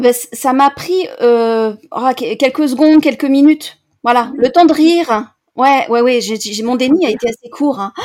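This woman's high voice moves fairly slowly, its pitch varying in an ordinary way. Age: 40s. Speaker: coach, former librarian. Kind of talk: interview testimony.

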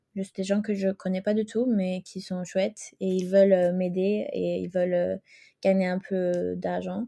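Against a quiet background, a woman with a Swedish accent talks at a very slow pace. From Sweden. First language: Swedish (speaking French). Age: 20s. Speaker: fashion rental entrepreneur. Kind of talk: interview. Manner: halting.

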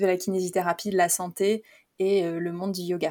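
At a fairly slow pace, a woman speaks with a dark, mellow tone, fairly low pitch and monotone, flat intonation on a very clean recording with a silent background. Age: 30s. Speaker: physiotherapist and yoga teacher. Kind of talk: casual interview. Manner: hesitant, many fillers.

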